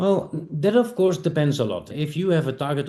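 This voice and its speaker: A man speaks with ordinary pitch variation. Noticeable background noise runs underneath. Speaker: sales entrepreneur, startup founder. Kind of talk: podcast interview.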